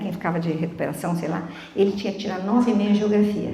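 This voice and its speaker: A woman speaks at a very fast pace in a medium pitch with an animated tone. Audible room echo and noticeable background noise are present. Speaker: lay preacher. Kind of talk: sermon.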